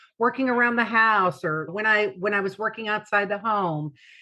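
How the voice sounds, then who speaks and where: Against a quiet background, a woman with a plain, everyday voice speaks at a medium pitch with ordinary pitch variation. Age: 60s. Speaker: patient sharing weight-loss story. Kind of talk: testimony.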